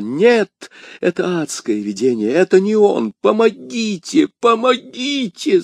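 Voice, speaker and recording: A man shouts in a put-on character voice pitched high. The sound is dry and close, with no echo. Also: fairly slow pace. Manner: screaming.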